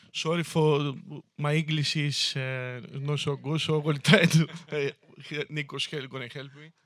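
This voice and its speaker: A man speaks at a fairly high pitch with monotone, flat intonation. His loudness swings a lot. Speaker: town mayor. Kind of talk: public speech about local history. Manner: hesitant, many fillers.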